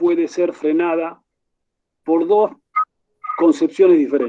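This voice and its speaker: With lively intonation, a man in an Argentine accent speaks at a fairly slow pace. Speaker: university rector, conference moderator. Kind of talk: conference Q&A question. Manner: formal.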